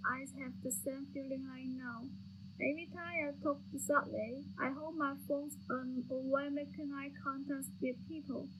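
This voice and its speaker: A woman's voice swings widely in loudness, with audible room echo around it. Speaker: student playwright. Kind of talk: dramatic reading.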